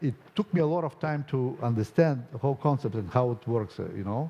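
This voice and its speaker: Speaking with a Bulgarian accent, the voice has a dark, mellow tone and lively intonation. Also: man. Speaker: conference speaker, software testing company owner. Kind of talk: conference Q&A answer. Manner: hesitant, with fillers.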